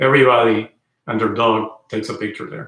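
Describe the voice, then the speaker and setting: A man speaks with a Spanish accent. His intonation is fairly even. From Venezuela. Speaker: car channel host. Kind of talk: livestream chat. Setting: indoors livestream. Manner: hesitant, many fillers.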